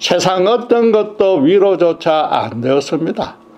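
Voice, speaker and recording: A man speaks very slowly in a high voice, with ordinary pitch variation. Room echo is audible, and background noise is noticeable. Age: 70s. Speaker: pastor. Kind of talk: sermon.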